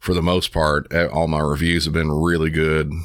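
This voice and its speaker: A gruff man speaks in a very deep, low voice with monotone, flat intonation. The recording is very clean, with a silent background. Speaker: 911 dispatcher and true crime podcaster. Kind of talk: casual interview chat.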